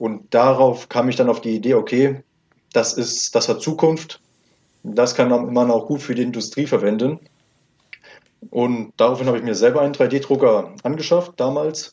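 Dark, mellow tone with ordinary pitch variation, a moderate pace, and long, frequent pauses. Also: man, medium pitch for a man. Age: 20s. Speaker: 3D printing entrepreneur. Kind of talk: interview. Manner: formal.

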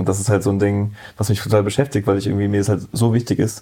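A man's fairly low, dark and mellow voice, somewhat breathy, very fast and fairly even in intonation. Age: 30s. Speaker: photographer. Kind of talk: casual interview. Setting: in-person recording.

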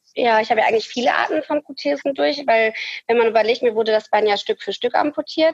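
A woman's high pitch and lively intonation, in a dry, close sound with no echo. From Ruhr area, western Germany. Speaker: amputee, prosthesis wearer. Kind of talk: interview, personal story. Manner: hesitant, many fillers.

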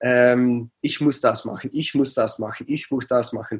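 A man talks with a Dutch accent. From Netherlands, near Aachen. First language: Dutch (speaking German). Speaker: coach and psychologist. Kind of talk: interview. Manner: halting.

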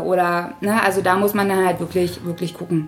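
Noticeable background noise under a woman's fairly even intonation. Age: 30s. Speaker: florist. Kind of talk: interview. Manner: hesitant with many fillers.

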